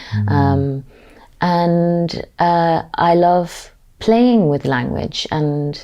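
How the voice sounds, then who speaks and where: At a very slow pace, a woman with a fairly low pitch speaks with lively intonation. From Ireland. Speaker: actor. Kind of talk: interview answer.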